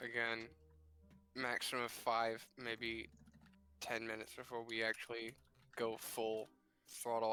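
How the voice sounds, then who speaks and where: With music in the background, a man speaks in a flat monotone, leaving long, frequent pauses. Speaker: tabletop game player or organizer on stream. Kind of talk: casual chat.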